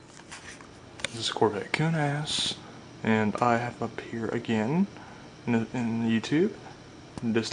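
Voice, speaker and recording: Quiet and pausing long and often, a man at medium pitch speaks with ordinary pitch variation over noticeable background noise. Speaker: ceiling fan collector and video maker. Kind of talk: casual product demonstration. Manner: quiet, hushed.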